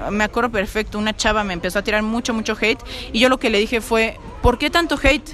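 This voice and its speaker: The speaker has a Mexican accent and talks at a fairly quick pace with ordinary pitch variation. Noticeable background noise sits behind the voice. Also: woman. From Mexico. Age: young. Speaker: singer-songwriter. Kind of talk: interview. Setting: cafe.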